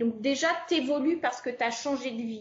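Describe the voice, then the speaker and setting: Her voice is that of a woman with a high pitch. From France. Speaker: expatriate. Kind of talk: interview.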